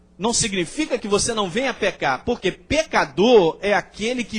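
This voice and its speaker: The speaker's intonation is lively. The pace is fairly slow. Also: man. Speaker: pastor. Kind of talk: sermon.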